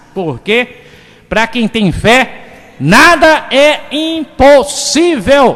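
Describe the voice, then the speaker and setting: A man speaks at an extremely high pitch with lively intonation. His pace is very slow. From Bahia, Brazil (Cruz das Almas). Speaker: radio host. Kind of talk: radio talk show. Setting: radio studio.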